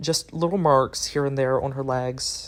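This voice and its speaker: A man with a fairly high pitch talks at a moderate pace on a very clean recording with a silent background. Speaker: doll restoration YouTuber. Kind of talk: voice-over narration of a tutorial. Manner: halting, stops mid-sentence.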